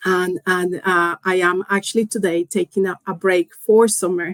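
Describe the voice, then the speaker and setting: A woman with a Spanish accent speaks at medium pitch and a fairly slow pace, her intonation fairly even, in a dry, close sound with no echo. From Colombia. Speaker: engineering executive. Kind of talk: interview. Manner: halting.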